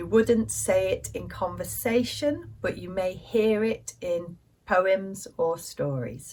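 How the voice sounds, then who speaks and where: Someone with a British accent speaks at a very slow pace. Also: woman. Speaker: English teacher. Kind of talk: language lesson. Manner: slow, clear.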